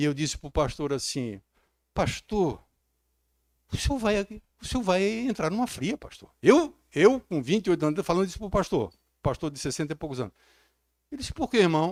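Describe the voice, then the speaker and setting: A man's high-pitched voice with very wide pitch swings, big shifts in loudness, and long, frequent pauses. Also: moderate pace, dry, close sound with no echo. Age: 60s. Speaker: pastor. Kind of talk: sermon. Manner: animated.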